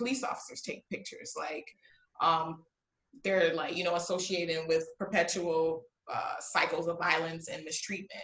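Speaking fairly slowly with an American accent, a woman uses an unremarkable speaking voice, fairly low in pitch, with fairly even intonation. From US Midwest (Chicago area, Illinois). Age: 30s. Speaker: lawyer and educator. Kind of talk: casual interview chat.

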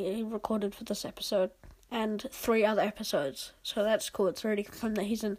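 This woman's voice has a slightly mellow tone.

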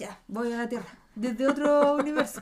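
The tone is animated and the pace fairly quick. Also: woman. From Chile. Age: 30s. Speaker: podcast co-host. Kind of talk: casual chat.

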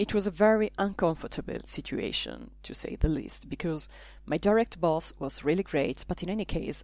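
A woman speaks with an Italian accent. Her pace is moderate. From Italy. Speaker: language teacher and podcaster. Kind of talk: scripted narration.

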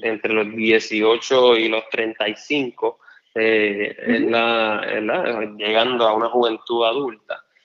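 Using a medium pitch, a man talks at a very slow pace with monotone, flat intonation. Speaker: lawyer and political candidate. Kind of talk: interview. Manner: halting.

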